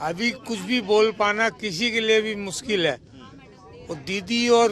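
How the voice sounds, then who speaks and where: Crowd noise fills the background. Over it, a man speaks in a high voice. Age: 60s. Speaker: train passenger. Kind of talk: vox pop interview. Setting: on a train.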